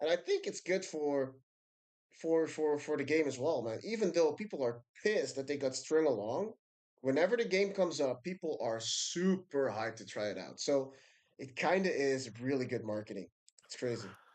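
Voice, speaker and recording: A man with a non-native accent, his voice fairly high and his intonation lively. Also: moderate pace. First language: not English. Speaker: video game streamer. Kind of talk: live stream commentary. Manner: casual, halting with fillers.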